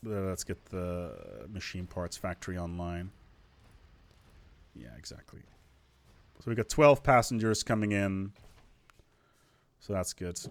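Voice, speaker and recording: A man's very deep, low-pitched voice with a non-native accent, ordinary pitch variation, big swings in loudness and long, frequent pauses, on a very clean recording with a silent background. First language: not English. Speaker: gaming video creator. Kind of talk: casual gameplay commentary. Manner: animated.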